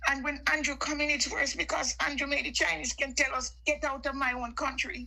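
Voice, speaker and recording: Over noticeable background noise, a woman talks in a raised, projected voice at a high pitch. She moves at a fairly quick pace with ordinary pitch variation. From Jamaica. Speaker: caller on live stream. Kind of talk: heated political chat.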